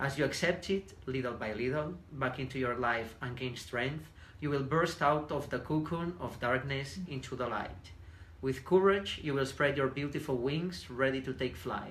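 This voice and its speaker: A man with a Spanish accent, medium pitch, ordinary pitch variation, vocal fry and a moderate pace, in audible room echo. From southern Spain. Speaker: businessman, podcast guest. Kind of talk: reading aloud. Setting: Facebook live videocast.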